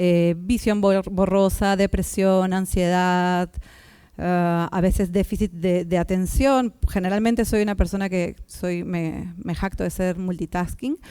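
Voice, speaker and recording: Over a silent background in a very clean recording, a woman speaks very slowly at a medium pitch, with a dark, mellow tone and fairly even intonation. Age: 30s. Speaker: communicator and activist. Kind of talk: public talk. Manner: halting.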